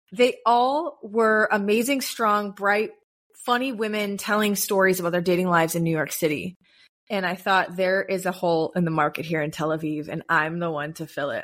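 A normal speaking voice with an American accent, delivered at a moderate pace with ordinary pitch variation, on a very clean recording with a silent background. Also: woman. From US. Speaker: content creator and podcast host. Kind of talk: casual interview.

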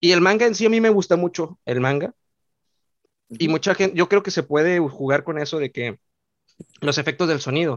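The speaker has a Mexican accent and lively intonation. The pace is fairly quick, broken by long, frequent pauses. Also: man, high pitch for a man. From Mexico. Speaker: youtuber. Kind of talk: casual chat.

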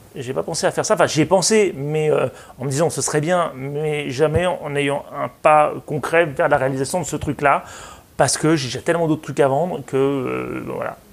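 With a plain, everyday voice, a man of fairly high pitch speaks at a moderate pace and with fairly even intonation. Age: 40s. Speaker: consultant and public speaker. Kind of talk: interview.

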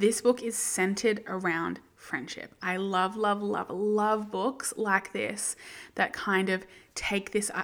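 With an Australian accent, a woman speaks at a medium pitch and with fairly even intonation. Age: 20s. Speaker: book podcast host. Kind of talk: solo book review monologue. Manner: casual, chatty with many fillers.

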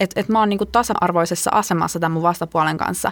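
Very fast speech with ordinary pitch variation, dry and close with no echo, in a very clean recording against a silent background. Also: woman. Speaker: podcast host. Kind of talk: casual chat. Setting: studio.

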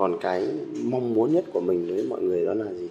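A man speaks at a moderate pace, with noticeable background noise behind him. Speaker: volunteer first-aid team founder. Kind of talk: interview testimony.

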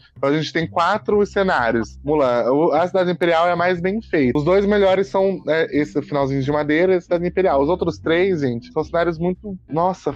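A man's high-pitched voice at a fairly quick pace, with hardly any pauses. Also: ordinary pitch variation, very even loudness. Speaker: podcast host, film reviewer. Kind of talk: casual chat. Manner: fast.

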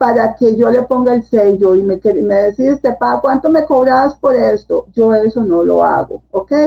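A woman with a Costa Rican accent, at a fairly slow pace with ordinary pitch variation. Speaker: book editor and publisher. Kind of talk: casual interview. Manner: hesitant, many fillers.

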